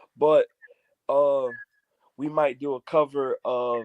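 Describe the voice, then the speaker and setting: Speaking with an American accent, a man goes at a very slow pace. The sound is dry and close, with no echo. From Michigan, US Midwest. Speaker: church member, hype man and DJ. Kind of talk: casual interview chat.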